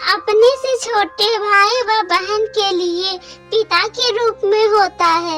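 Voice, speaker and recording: A cartoonish character voice, female-sounding and extremely high in pitch, moves at a fairly slow pace. Clear music plays in the background. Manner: motherly, gentle.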